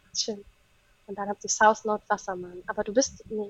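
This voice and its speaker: A woman with a fairly high pitch keeps a moderate pace and a monotone, flat intonation. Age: 30s. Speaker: astrologer and psychologist. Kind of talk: casual chat.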